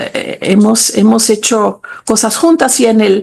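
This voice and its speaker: A woman speaks at a fairly slow pace in a fairly high pitch, somewhat breathy. Her tone is dark and mellow, her intonation fairly even. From Switzerland. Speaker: literature professor. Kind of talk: interview. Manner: halting, with fillers and repetitions.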